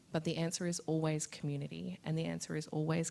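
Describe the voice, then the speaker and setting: In an Australian accent, a woman speaks with a very deep, low pitch. Her tone is dark and mellow, her intonation monotone and flat. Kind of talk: panel discussion answer. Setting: live event with audience, recorded on Zoom.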